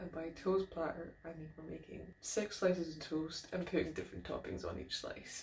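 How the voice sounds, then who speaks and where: The speaker talks at a moderate pace with a slight Scottish accent. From Scotland, Aberdeen. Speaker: food vlogger, PhD student. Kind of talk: casual vlog talk to camera. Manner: chatty, lively.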